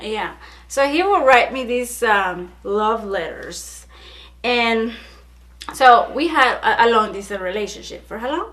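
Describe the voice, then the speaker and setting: A woman with a fairly high pitch speaks at a fairly slow pace in an animated tone with lively intonation and big swings in loudness. Audible room echo and noticeable background noise surround her. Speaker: YouTuber. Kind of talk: casual chat.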